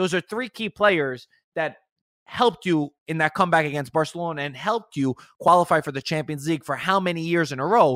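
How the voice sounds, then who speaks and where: Fairly high in pitch, a man talks at a fairly quick pace in a dry, close sound with no echo. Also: ordinary pitch variation, very clean recording, silent background. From US, Italian-American. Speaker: football content creator. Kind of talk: casual chat.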